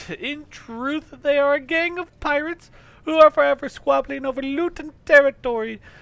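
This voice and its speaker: A drawling, high-pitched, female-sounding put-on character voice speaks at a moderate pace. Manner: pompous, drawling, gurgling.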